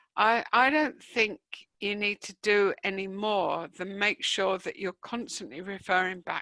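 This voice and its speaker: Here a woman speaks with a London accent at a medium pitch. Her pitch varies in an ordinary way, and the sound is dry and close with no echo. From East London, England. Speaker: professor, online learning expert. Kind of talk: Q&A at online conference talk. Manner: hesitant, many fillers.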